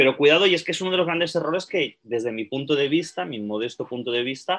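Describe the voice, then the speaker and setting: A man speaks at a fairly quick pace, his fairly high voice moving with lively intonation. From Spain, Barcelona (Catalonia). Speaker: archaeologist and researcher. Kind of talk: interview. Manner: fast.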